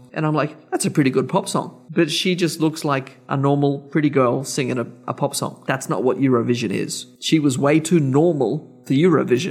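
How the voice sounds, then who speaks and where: Over music in the background, a man with an Australian accent talks at a moderate pace and a fairly high pitch, with ordinary pitch variation and hardly any pauses. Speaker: podcast co-host. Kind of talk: casual chat.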